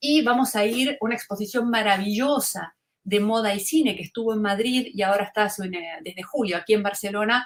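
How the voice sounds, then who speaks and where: A woman in a Rioplatense accent, fairly high-pitched and fairly quick, with hardly any pauses and ordinary pitch variation. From Argentina, Buenos Aires (Río de la Plata). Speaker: fashion communication lecturer. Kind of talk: webinar lecture. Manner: conversational, with filler words (este, eh).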